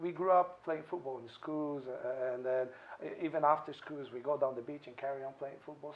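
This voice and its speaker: Over noticeable background noise, a man talks at a moderate pace in a fairly high pitch. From Brazil, Santos. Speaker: restaurateur. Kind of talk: interview. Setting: restaurant. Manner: hesitant, many fillers.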